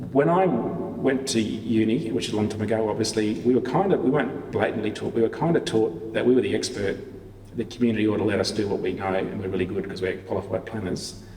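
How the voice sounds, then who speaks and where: A man talks very fast in an Australian accent, his pitch fairly low with ordinary variation. Audible room echo surrounds his words. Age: 60s. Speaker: town planner, public sector leader. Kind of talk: Q&A after a lecture.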